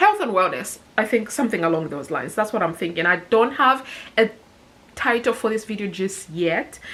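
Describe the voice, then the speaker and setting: A woman speaks at a moderate pace. Her pitch is fairly high and her intonation lively. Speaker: personal finance vlogger. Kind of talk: casual vlog talking to camera. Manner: mumbling.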